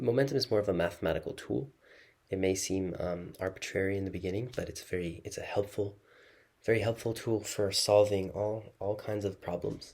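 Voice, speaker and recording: A soft-spoken, somewhat breathy man, fairly low in pitch, at a fairly quick pace, on a very clean recording with a silent background. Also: fairly even intonation. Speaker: physics tutor. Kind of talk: lecture. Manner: halting.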